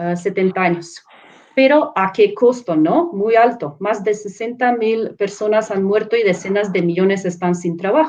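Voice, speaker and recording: A woman speaks with a non-native accent at a medium pitch. Her pace is fairly slow. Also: ordinary pitch variation. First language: not Spanish (speaking Spanish). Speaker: professor and researcher. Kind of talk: panel presentation. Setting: live online stream. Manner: halting, with fillers and self-corrections.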